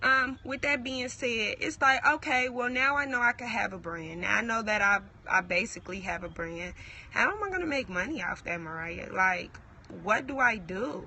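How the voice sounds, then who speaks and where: Her pitch fairly high and swinging very widely, a woman speaks over noticeable background noise. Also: moderate pace. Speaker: entrepreneur vlogger. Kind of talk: motivational talk to camera. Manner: casual, halting.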